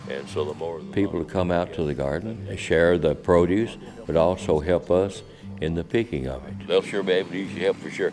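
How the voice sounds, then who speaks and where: The speaker has a Texan accent and a fairly quick pace, with ordinary pitch variation. Loudness swings widely, and music plays in the background. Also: man, very deep, low pitch for a man. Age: 70s. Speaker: community garden organizer. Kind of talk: documentary interview.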